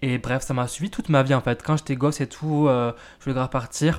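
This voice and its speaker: Recorded very cleanly against a silent background, a man speaks at a medium pitch with ordinary pitch variation. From France. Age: 20s. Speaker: podcast host. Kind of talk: casual personal monologue. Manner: hesitant, many fillers.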